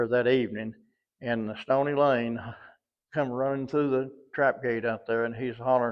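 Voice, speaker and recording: A man with an American accent talks at a moderate pace. His intonation is monotone and flat, with long, frequent pauses. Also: medium pitch for a man. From US South. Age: 80s+. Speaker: former prison guard. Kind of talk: interview storytelling.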